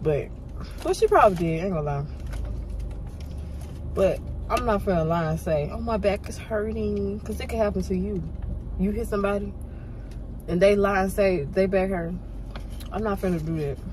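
A woman with a medium pitch talks at a moderate pace, using ordinary pitch variation and long, frequent pauses, while background noise is clearly audible.

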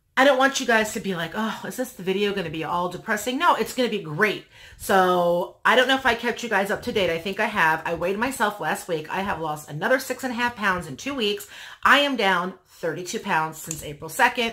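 A woman talks at a fairly quick pace. Her intonation is lively. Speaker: vlogger. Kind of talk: casual vlog chat. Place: home room.

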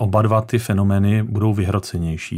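Against a quiet background, the speech runs at a fairly slow pace in a monotone, flat intonation. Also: man. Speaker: guest. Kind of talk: interview answer. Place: studio.

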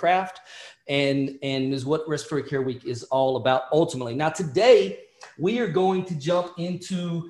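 A man's voice with ordinary pitch variation, a quiet background and audible room echo. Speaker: respiratory therapy educator. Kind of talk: lecture. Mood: upbeat, friendly. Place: home room. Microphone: webcam.

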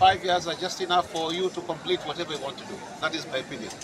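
A high-pitched male voice, dry with no echo, amid noticeable background noise. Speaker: local politician. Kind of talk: interview answer. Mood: relaxed, smiling. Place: open country. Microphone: handheld.

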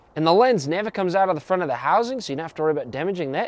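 A man with very wide pitch swings, in a dry sound with no echo. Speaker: camera reviewer. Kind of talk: tutorial. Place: garden.

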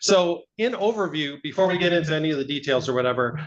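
A man's voice sits high in pitch, and its pitch varies in an ordinary way. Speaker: city finance official. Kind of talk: budget presentation. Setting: council meeting. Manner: fast.

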